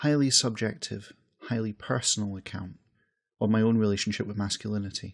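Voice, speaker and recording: Recorded very cleanly against a silent background, a man with a Scottish accent talks at a medium pitch. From west coast of Scotland. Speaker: podcast host. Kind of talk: personal essay monologue. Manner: reflective, conversational.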